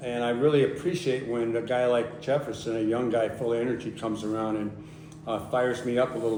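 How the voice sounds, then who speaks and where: Audible room echo surrounds a man speaking with an American accent. His pitch sits at medium, and his pace is fairly quick. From US Northeast (Connecticut). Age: 80s+. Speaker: activist and photographer. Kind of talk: public talk.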